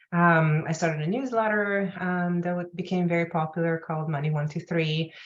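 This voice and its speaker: A woman speaks fairly quickly with a non-native accent. Her pitch is fairly low and her intonation fairly even. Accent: non-native accent, noticeable when nervous. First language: not English. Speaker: personal finance journalist and author. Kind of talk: interview. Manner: hesitant, many fillers.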